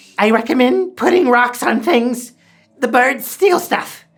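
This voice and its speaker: This is a put-on character voice with fairly high pitch. It moves at a fairly slow pace. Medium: actual play. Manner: earnest, simple.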